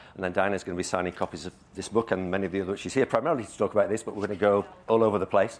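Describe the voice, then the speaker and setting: A man with an English accent, fairly low in pitch, at a very fast pace. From England. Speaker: event chair. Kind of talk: live interview on stage. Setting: stage with audience.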